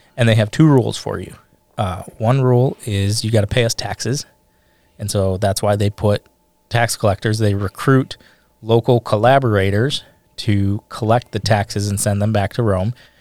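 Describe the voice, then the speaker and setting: Speaking at a moderate pace with a plain, everyday voice, a man talks in a fairly low pitch with fairly even intonation, and the sound is dry and close with no echo. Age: 30s. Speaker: pastor. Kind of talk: casual chat.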